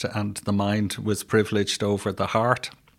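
A man with a Dublin accent and a fairly low pitch speaks at a moderate pace. The recording is very clean, with a silent background. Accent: Dublin Irish. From Ireland, Dublin. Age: 60s. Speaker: retired probation officer and social work educator. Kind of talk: interview. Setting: in-person studio. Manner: halting.

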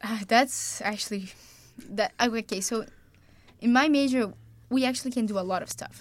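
A woman speaks at a fairly high pitch with a Brazilian accent. Her speech has long, frequent pauses. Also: ordinary pitch variation, moderate pace. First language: Portuguese. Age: young. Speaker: college tennis player. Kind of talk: casual chat.

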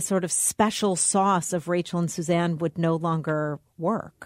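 The recording is very clean with a silent background. A woman talks at a fairly slow pace with ordinary pitch variation. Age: 50s. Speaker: podcast co-host, business owner. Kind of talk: casual chat.

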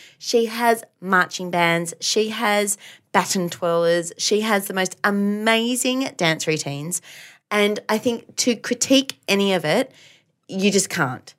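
Speaking with an Australian accent, a woman uses a medium pitch with ordinary pitch variation. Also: fairly slow pace. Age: 30s. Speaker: podcast co-host, teacher. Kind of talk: casual chat.

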